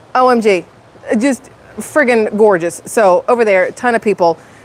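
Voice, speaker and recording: Noticeable background noise sits under a woman's fairly high voice with ordinary pitch variation. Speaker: YouTuber live streaming. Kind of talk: casual live stream chat. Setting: outdoors at the beach next to a restaurant. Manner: loud.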